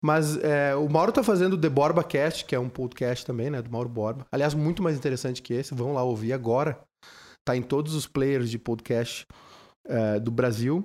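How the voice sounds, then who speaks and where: A man talks in a normal speaking voice at a medium pitch with ordinary pitch variation. The recording is very clean, with a silent background. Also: moderate pace. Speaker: podcast host and radio presenter. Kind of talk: casual chat. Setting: drinking wine during recorded podcast.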